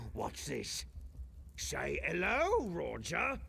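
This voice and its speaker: A man puts on a raspy character voice over clear background noise. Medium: video game. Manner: gruff, hearty laughter.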